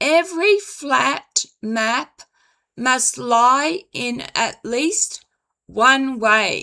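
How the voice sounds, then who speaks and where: A woman projects a raised voice at a high pitch with a bright, sharp tone. Her pitch swings very widely. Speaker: psychic medium and author. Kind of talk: casual commentary to camera.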